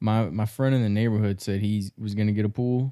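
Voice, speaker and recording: A man with an American accent at a fairly quick pace and monotone, flat intonation, in a very clean, dry, close recording with a silent background and no echo. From Maryland. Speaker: podcast co-host. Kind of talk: casual banter, profane. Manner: casual, laid-back, profane.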